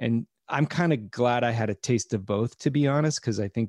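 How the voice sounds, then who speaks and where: A man with an American accent and an unremarkable speaking voice talks at a moderate pace and medium pitch. His pitch variation is ordinary, and the background is quiet. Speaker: podcast producer and comedian. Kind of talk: casual interview chat.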